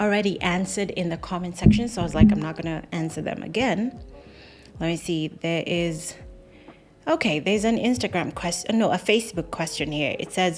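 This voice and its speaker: With music in the background, a woman at a medium pitch speaks at a moderate pace using lively intonation. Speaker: YouTuber, former cabin crew. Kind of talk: Q&A advice vlog.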